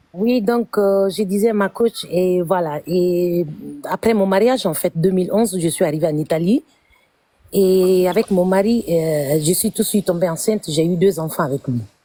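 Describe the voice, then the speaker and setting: Captured with a dry, close sound and no echo, a woman speaks at a fairly slow pace in a medium pitch with ordinary pitch variation, very even loudness and a dark, mellow tone. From Guinea. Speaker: caller sharing personal story on live stream. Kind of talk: testimony. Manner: halting.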